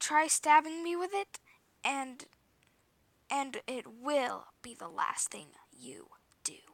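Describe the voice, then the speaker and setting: Using a put-on character voice, a woman speaks high-pitched at a fairly slow pace, with long, frequent pauses and a hissing sound. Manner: hissing, menacing.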